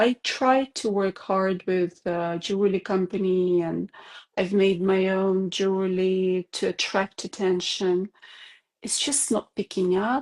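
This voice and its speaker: A woman with a non-native accent speaks at a medium pitch and a very slow pace. The sound is dry and close, with no echo. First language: not English. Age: 40s. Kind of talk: interview. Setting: video call. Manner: halting, many hesitations.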